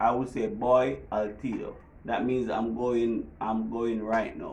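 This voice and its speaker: The voice has a strong Jamaican accent and a very slow pace. Room echo is audible. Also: man. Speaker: vlogger. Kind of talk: casual tutorial.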